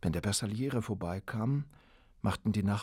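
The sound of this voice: Pitch rises and falls in an ordinary way. The voice is an unforced reading voice.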